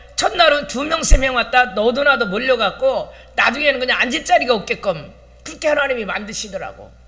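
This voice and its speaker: A woman's raised, projected voice, high-pitched, at a fairly quick pace with lively intonation, over noticeable background noise. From Chungcheong, South Korea. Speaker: pastor. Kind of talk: sermon.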